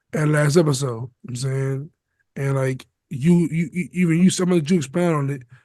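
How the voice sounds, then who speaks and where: Speaking fairly quickly with an American accent, a man uses a fairly high, somewhat breathy voice with ordinary pitch variation. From US Midwest. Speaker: podcast co-host. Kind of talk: casual chat.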